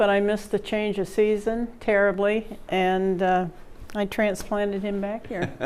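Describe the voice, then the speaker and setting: Monotone, flat delivery in an American accent at a fairly slow pace. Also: woman, medium pitch for a woman. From Vermont, USA. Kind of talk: interview answer.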